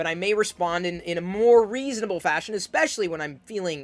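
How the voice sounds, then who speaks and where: Over music in the background, a man speaks loudly at a very fast pace. His tone is intense and passionate, with ordinary pitch variation. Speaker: advice vlogger. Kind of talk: personal advice monologue. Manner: loud, projecting; intense, passionate.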